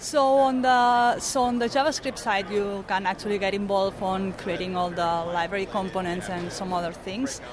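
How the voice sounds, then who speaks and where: A woman's voice in a Spanish accent, medium in pitch with ordinary variation, at a moderate pace with hardly any pauses. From Barcelona, Spain. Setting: conference interview. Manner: halting, hesitant.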